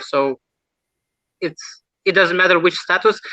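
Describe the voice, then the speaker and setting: A man with a Lithuanian accent speaks at a fairly quick pace in a bright, sharp tone. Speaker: mentalist. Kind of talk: interview. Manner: halting.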